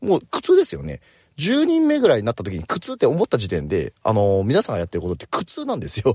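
Talking at a very fast pace with big swings in loudness, a man is heard in a dry, close sound with no echo on a very clean recording with a silent background. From Japan, Oita Prefecture. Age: 40s. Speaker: company president. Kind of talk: morning talk monologue. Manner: casual.

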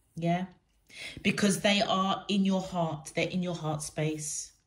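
The speech moves at a fairly slow pace with monotone, flat intonation. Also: woman. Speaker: tarot reader. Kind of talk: tarot reading for viewers. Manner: hesitant, many fillers. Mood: warm, gentle, reassuring. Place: home room. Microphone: phone near.

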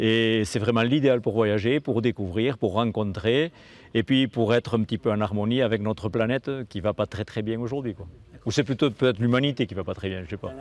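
At a fairly quick pace, a man talks with ordinary pitch variation in a dry recording with no echo. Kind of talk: interview answer. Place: street. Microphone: lapel.

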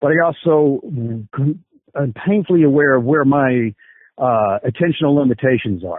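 At a fairly slow pace, a man with an ordinary speaking voice talks in a fairly high register with ordinary pitch variation. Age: 50s. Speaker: combat sports coach. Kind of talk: interview.

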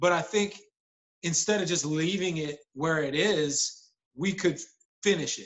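This man speaks at a high pitch. His pitch variation is ordinary. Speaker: actor interviewed about a show. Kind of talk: interview answer. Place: kitchen. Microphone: video call.

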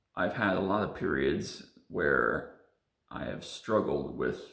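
Over a quiet background, a man's voice carries audible room echo. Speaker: sim racer vlogger. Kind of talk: personal confessional vlog. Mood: serious, reflective. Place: home room. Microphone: phone near.

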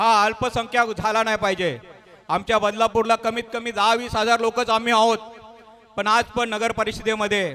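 A man speaks in a raised, projected voice at a high pitch. His intonation is monotone and flat. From Maharashtra, Raigad/Thane region (Agri community). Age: 50s. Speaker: businessman and local community leader. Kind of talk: speech to an audience.

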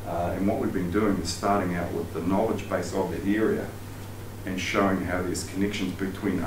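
With a New Zealand accent, a man speaks at a very deep, low pitch in a monotone, flat intonation against noticeable background noise. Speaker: sports psychologist and outdoor education presenter. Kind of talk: lecture. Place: meeting room. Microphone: camera far.

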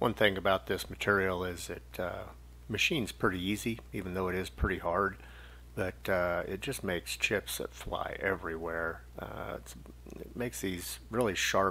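A man speaks with vocal fry and a very deep, low pitch. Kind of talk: tutorial. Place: workshop. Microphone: camera far.

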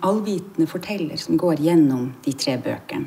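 Here a woman speaks with a fairly low pitch. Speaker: stage actor. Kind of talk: interview answer. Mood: reflective, warm. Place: hall.

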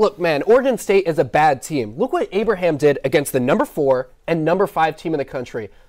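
A fairly high-pitched man's voice with very wide pitch swings and hardly any pauses, set against a quiet background. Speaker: sports reporter and anchor. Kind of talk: live TV sports reporting and studio sports talk. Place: studio. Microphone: lapel.

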